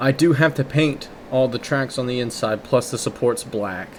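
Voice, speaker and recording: Against noticeable background noise, a man speaks at a fairly quick pace with fairly even intonation. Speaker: gaming commentator. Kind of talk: casual gameplay commentary. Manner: hesitant, stuttering.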